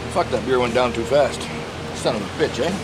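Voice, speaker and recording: Very fast speech from a man, with loud background noise. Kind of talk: casual cooking commentary. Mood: loose, jokey, profane. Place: garden.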